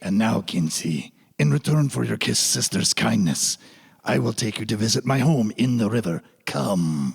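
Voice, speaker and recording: In a put-on character voice, the speaker swings the pitch very widely while keeping the loudness very even at a moderate pace. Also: man, fairly low pitch for a man. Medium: audio drama. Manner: gentle, kindly.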